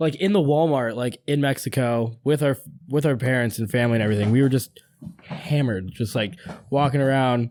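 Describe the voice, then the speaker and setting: The speech moves at a fairly quick pace with ordinary pitch variation and very even loudness. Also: man, medium pitch for a man. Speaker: podcast guest. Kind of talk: casual chat. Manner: animated.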